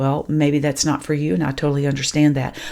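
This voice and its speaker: This woman's voice sits very deep and low, with a warm, dark, mellow tone. Her intonation stays monotone and flat. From rural farming background. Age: 60s. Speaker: grief mentor podcast host. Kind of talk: podcast monologue. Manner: warm, conversational.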